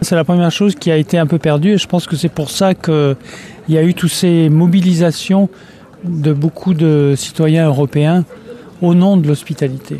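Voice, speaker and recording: Over noticeable background noise, a man speaks at a moderate pace with long, frequent pauses. His pitch is fairly high, his intonation fairly even and his loudness very even. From France. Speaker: anthropologist. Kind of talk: interview.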